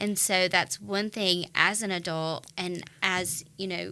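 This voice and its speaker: A woman with a North Carolina accent speaks at medium pitch with fairly even intonation and a bright, sharp tone on a very clean recording with a silent background. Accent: Southern US (North Carolina). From US South, Wilkes County, North Carolina. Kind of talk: interview conversation. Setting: studio.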